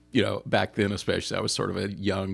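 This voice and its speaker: Here a man speaks at a fairly quick pace. His pitch is fairly low. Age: 50s. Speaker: therapist. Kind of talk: interview. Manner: hesitant, many fillers.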